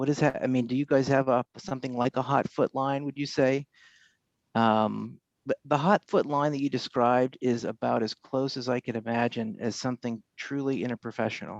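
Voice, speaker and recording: Soft-spoken and at a fairly quick pace, a man talks at a medium pitch with ordinary pitch variation, his voice dry and close with no echo against a quiet background. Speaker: faculty member. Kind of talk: audience question. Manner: halting, many fillers.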